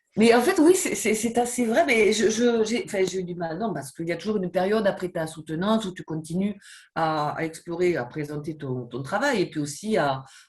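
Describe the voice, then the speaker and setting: A woman with a southwestern French accent talks at a fairly quick pace, somewhat breathy, with a medium pitch and lively intonation. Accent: southwestern French, noticeable. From southwest France. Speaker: professor. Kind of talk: interview. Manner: hesitant, many fillers and repetitions.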